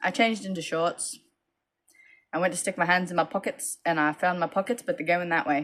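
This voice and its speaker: A woman's fairly low voice at a fairly quick pace. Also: ordinary pitch variation. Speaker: crochet vendor vlogger. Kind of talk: casual vlog storytelling.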